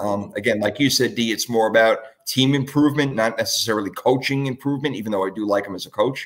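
A man talks fairly quickly, with pitch that varies in an ordinary way. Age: 40s. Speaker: podcast host. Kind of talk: casual chat. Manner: animated.

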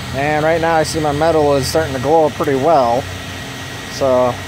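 The speech moves at a moderate pace. Noticeable background noise runs underneath. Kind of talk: casual show-and-tell. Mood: pleased, relaxed. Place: garden. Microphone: phone near.

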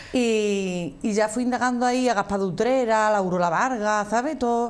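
A woman speaks with an Andalusian accent. Her pitch varies in an ordinary way. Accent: Andalusian (Cádiz). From Andalusia, Arcos de la Frontera (Cádiz); Andalusia, Spain. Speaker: flamenco singer; guest. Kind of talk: interview. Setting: TV studio. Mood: warm, fond recollection. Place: studio. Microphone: lapel.

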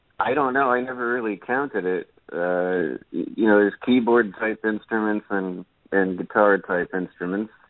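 Moderate pace and ordinary pitch variation. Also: man, fairly low pitch for a man. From New Jersey. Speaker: musician. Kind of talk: interview. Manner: halting.

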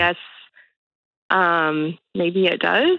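Her pitch is fairly low for a woman. She talks at a moderate pace. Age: 30s. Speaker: caller seeking advice. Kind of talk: phone-in conversation. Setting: phone call. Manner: hesitant, filler-heavy; smiling, laughing while talking.

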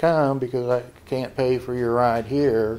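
A man speaks at a fairly slow pace, medium in pitch, with monotone, flat intonation. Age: 60s. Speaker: dating show contestant. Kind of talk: interview answer. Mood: reflective, complaining about scams. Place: office. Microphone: handheld.

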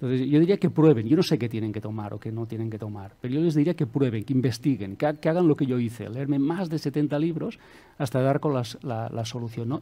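Hardly pausing, a man talks at a fairly quick pace with a dark, mellow tone and ordinary pitch variation. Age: 50s. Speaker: self-help author and coach; coach. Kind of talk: interview. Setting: studio with audience. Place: studio. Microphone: headset.

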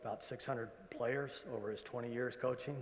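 Here a man talks at a medium pitch. His pace is moderate. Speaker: retired intelligence agency executive; guest. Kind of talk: convocation speech. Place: hall. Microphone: lapel.

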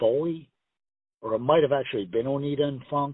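Ordinary pitch variation marks this man's medium-pitched voice.

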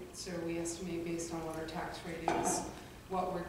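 A woman with a fairly low voice speaks at a moderate pace amid noticeable background noise and strong room echo. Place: hall. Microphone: podium.

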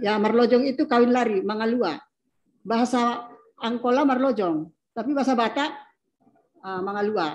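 A high-pitched woman at a moderate pace with long, frequent pauses, over a quiet background. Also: ordinary pitch variation. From North Sumatra, Mandailing area; North Sumatra, Indonesia. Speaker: academic panelist; panelist. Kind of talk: panel discussion. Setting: video call. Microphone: video call.

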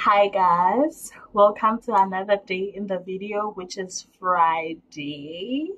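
A woman talks at a very slow pace with ordinary pitch variation, hardly any pauses, and big swings in loudness. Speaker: vlogger, university student; vlogger. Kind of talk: casual vlog talk to camera. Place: home room. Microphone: phone near.

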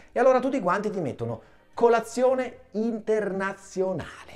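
Over music in the background, a man speaks at a fairly quick pace in a high pitch, with an animated, theatrical tone and lively intonation. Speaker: stand-up comedian. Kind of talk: stand-up comedy routine. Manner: animated, mock-outraged, theatrical; fast, punchline-driven with comic pauses. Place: studio.

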